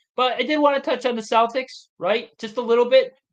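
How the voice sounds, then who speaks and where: A man with a Boston accent at a moderate pace. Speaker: sports podcast co-host. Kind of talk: casual chat.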